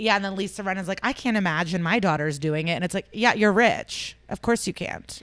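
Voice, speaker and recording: In a very clean recording with a silent background, a woman with an American accent uses an ordinary speaking voice, medium pitch, and ordinary pitch variation, talking at a fairly quick pace with hardly any pauses. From Chicago suburbs, US Midwest. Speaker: stand-up comedian. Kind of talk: casual chat.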